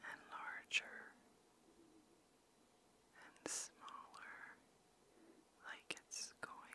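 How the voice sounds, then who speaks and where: Whispering in a soothing tone, the voice leaves long, frequent pauses. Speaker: ASMR creator. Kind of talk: ASMR relaxation guidance. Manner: slow, soothing. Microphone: studio mic.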